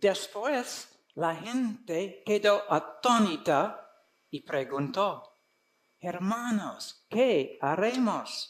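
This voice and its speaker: A man with an American accent talks at a very slow pace. His high voice has lively intonation. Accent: foreign (American) accent in Spanish. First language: English (speaking Spanish). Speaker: conference speaker, preacher. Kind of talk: sermon. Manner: halting.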